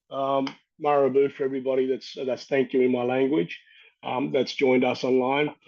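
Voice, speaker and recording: A man with an Australian accent talks in a fairly high pitch. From Australia, north-west New South Wales. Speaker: First Nations water expert, panel speaker. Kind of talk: webinar talk.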